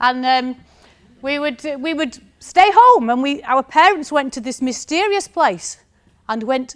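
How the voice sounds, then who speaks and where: A woman speaks with a strong northern English accent. Her pitch swings very widely at a fairly slow pace. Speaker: university lecturer. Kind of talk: conference talk.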